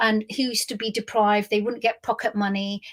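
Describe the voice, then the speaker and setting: A woman with a London accent and a fairly high pitch, on a very clean recording with a silent background. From South West London, England. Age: 50s. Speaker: business leader and memoirist. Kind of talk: memoir storytelling to camera. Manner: rambling, conversational.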